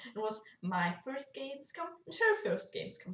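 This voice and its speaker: A woman speaks at a moderate pace. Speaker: YouTuber. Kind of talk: casual vlog chat. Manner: animated, with fillers and false starts.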